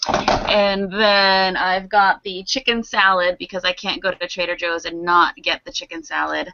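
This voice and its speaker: With an American accent, a woman speaks in an ordinary speaking voice at medium pitch and a moderate pace, with ordinary pitch variation and hardly any pauses. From Philadelphia, US. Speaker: actress and producer. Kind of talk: casual chat.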